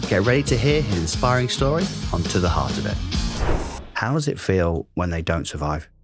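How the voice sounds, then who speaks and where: A man with a very deep, low voice speaks at a moderate pace. His pitch swings very widely, with music in the background. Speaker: podcast host, life coach. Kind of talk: podcast trailer intro.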